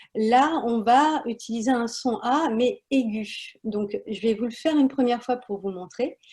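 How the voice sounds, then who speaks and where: A woman's high-pitched voice with a dark, mellow tone, ordinary pitch variation, a fairly slow pace and hardly any pauses. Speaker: wellness practitioner. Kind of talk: guided breathing instruction. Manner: hesitant, many fillers.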